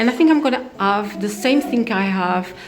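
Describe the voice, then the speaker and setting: Music plays behind a woman with a non-native accent whose pitch swings very widely, and the room echo is audible. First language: not English. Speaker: home renovation vlogger. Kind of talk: home tour vlog. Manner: halting.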